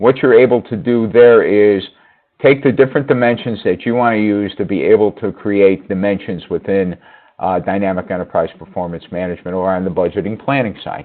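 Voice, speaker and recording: A man with an American accent, fairly low pitch, fairly quick pace and ordinary pitch variation. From New York. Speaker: software presenter. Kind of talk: product demo on a web meeting. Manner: fast.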